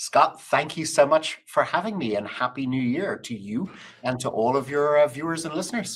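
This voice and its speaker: A man with an Irish accent, fairly high-pitched, lively intonation, moderate pace. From Ireland. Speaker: business executive. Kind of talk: interview conversation.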